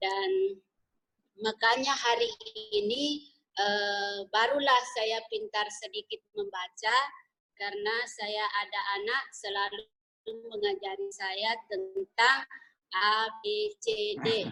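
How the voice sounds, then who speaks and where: Speaking very slowly in a Malaysian accent, a woman has a bright, sharp tone, a fairly high pitch and fairly even intonation. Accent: sounds Malay (Malaysian). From Indonesia. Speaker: businesswoman, former plantation worker. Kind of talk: interview. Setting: video call.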